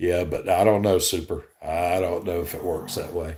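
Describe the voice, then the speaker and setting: In a Southern US accent, a man speaks at a moderate pace. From Alabama. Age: 60s. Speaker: gig delivery streamer. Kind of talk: live stream chat. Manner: casual, conversational.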